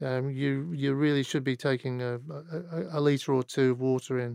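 A man with a Mancunian accent, medium pitch, moderate pace, and fairly even intonation, in a dry, close sound with no echo. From northern England, Manchester. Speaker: CEO of workplace consultancy. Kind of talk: podcast interview. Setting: studio. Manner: halting.

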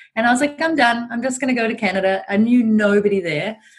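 A woman speaks at a very fast pace in a somewhat breathy voice. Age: 40s. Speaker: entrepreneur and business mentor. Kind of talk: casual interview chat.

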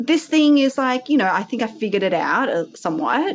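Over noticeable background noise, a woman with an Australian accent talks with very wide pitch swings. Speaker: entrepreneur. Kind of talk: casual interview chat.

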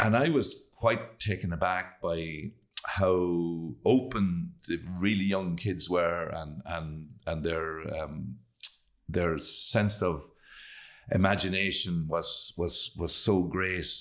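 A man's very deep, low voice in a Leitrim Irish accent at a very slow pace, recorded very cleanly against a silent background. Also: ordinary pitch variation. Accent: Irish (Leitrim, north midlands). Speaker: actor and playwright. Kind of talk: interview. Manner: halting.

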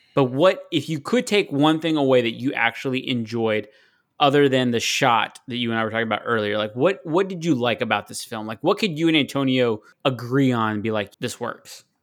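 A man with an ordinary speaking voice talks at a fairly quick pace and medium pitch. His pitch variation is ordinary, and the recording is very clean with a silent background. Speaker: podcast panelist. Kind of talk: casual chat.

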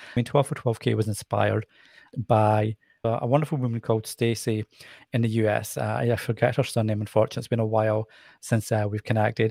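A man talks at a very fast pace with fairly even intonation. The sound is dry and close with no echo, on a very clean recording with a silent background. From Scotland. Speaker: nonprofit fundraiser and social media campaigner. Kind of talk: podcast interview.

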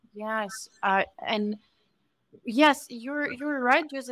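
With a Ukrainian accent and a bright, sharp tone, a woman talks at a fairly slow pace with ordinary pitch variation. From Ukraine. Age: young. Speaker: Ukrainian refugee. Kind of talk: interview.

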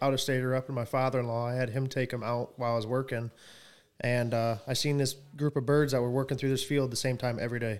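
Very fast speech comes from a man with an American accent. His medium-pitched voice stays monotone and flat. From Michigan, Coldwater. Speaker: turkey hunter. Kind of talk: casual chat.

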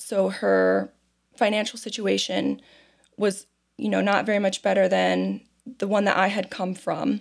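Long, frequent pauses break up fairly slow speech with a Midwestern American accent. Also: woman. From Ohio, US Midwest (Toledo). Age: 30s. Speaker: foster care advocate. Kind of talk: interview testimony. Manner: halting, repeats words.

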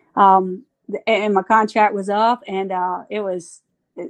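This woman talks with a Southern US accent. Her pitch varies in an ordinary way. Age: 40s. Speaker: softball coach. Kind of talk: casual interview. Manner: animated.

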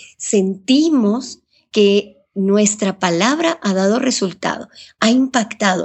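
The voice is somewhat breathy, and its intonation is lively. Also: woman. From Ecuador. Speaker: journalist and radio broadcaster. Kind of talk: interview.

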